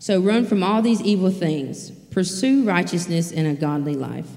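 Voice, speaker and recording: Speaking at a fairly slow pace, a woman is heard amid noticeable background noise and audible room echo. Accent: Mississippi. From US South, rural Mississippi. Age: 20s. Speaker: recovery program staff member. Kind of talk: sermon.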